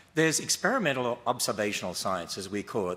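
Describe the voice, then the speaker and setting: A man with an Australian accent talks at a fairly quick pace in a bright, sharp tone. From Australia (Queensland). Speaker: creationist debater. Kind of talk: formal debate opening statement.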